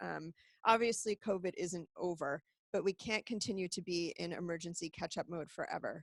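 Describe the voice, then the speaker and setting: A woman talks at a moderate pace in a plain, everyday voice with an American accent. Her pitch is medium with ordinary variation, and the sound is dry and close with no echo. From United States. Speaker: executive director of a medical charity. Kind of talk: webinar presentation. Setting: online webinar broadcast.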